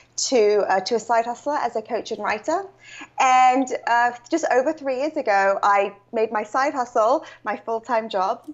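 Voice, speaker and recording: Speaking at a moderate pace with a British accent, a woman uses a fairly high pitch and ordinary pitch variation. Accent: British accent noted. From UK. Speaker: author and coach. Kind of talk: interview.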